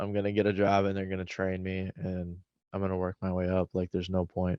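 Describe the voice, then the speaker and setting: In an American accent, a man speaks in a very deep, low voice with monotone, flat intonation. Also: fairly quick pace. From Milwaukee, US Midwest. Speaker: YouTuber. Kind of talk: casual chat. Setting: video call.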